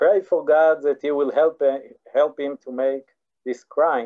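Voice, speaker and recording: Speaking with an Israeli accent, a man keeps his fairly high-pitched voice fairly even in intonation. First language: Hebrew. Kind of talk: online lecture. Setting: video call. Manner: halting, many repetitions and fillers.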